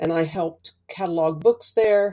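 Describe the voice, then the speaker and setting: A woman with an American accent speaks at a fairly slow pace and a fairly low pitch. Her tone is dark and mellow, with fairly even intonation. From Baltimore, Maryland, US. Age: 60s. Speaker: oral history contributor. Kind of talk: personal reminiscence.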